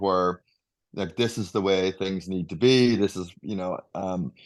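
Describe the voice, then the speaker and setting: At a fairly low pitch, a man speaks with a slight Northern Irish accent and ordinary pitch variation. His pace is moderate, and the background is quiet. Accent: subtle Northern Irish. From Northern Ireland. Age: 50s. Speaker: leadership coach. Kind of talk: interview answer.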